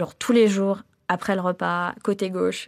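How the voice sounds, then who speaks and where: A woman at a medium pitch speaks at a very slow pace in a very clean recording with a silent background. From France, Metz (east) and China. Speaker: entrepreneur, cancer survivor. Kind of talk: testimony. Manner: hesitant, many fillers.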